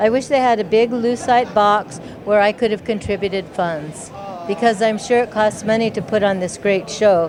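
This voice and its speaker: A woman speaks with a fairly high pitch. Noticeable background noise sits behind her. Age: 60s. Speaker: event participant. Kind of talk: interview. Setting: at a live event.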